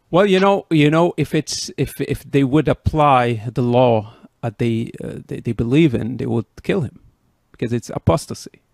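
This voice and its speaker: This man speaks with a Moroccan accent at a moderate pace, using lively intonation and a medium pitch. The recording is very clean with a silent background and has a dry, close sound with no echo. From Morocco. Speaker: podcast host. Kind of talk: interview. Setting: in person.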